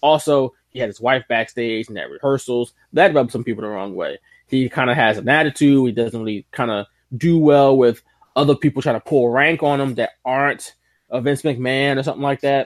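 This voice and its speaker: A plain, everyday voice with an American accent moves at a fairly quick pace with fairly even intonation. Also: man, medium pitch for a man. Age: 30s. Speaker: wrestling podcast host. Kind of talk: casual chat.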